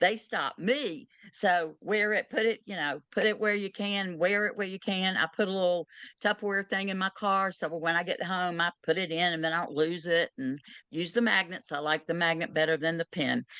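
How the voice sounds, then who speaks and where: A woman speaks in a Southern US accent at a moderate pace. Her tone is bright and sharp. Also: medium pitch for a woman, ordinary pitch variation, quiet background. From US South. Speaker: end-of-life doula. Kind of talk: Q&A session advice.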